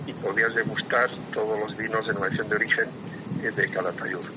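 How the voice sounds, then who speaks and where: Noticeable background noise accompanies a man speaking at medium pitch. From Basque Country (San Sebastián). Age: 70s. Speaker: cyclist. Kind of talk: casual interview.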